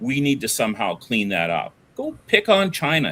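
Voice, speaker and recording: With a Canadian accent, a man talks at a fairly slow pace. Vocal fry runs through his voice. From Alberta, Canada (moved from Ontario at 11). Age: 60s. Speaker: business owner, oil and gas veteran. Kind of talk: casual debate-style interview. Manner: animated, repetitive with restarts.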